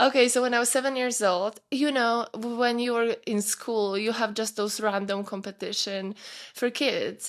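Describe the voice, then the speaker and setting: A woman with a Polish accent speaks with fairly even intonation and a fairly high pitch on a very clean recording with a silent background. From Poland, small mountain town. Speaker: fitness coach. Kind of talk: podcast interview. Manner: halting.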